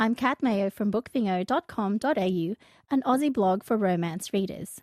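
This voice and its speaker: A woman with an unremarkable speaking voice, fairly high pitch, lively intonation and a moderate pace, over a quiet background. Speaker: podcast host. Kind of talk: casual chat.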